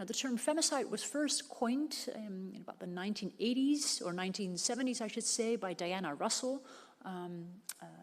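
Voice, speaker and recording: Fairly high female pitch, varying in an ordinary way. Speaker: criminologist and psychologist, academic researcher. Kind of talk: conference talk. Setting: conference room with audience. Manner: fast when excited.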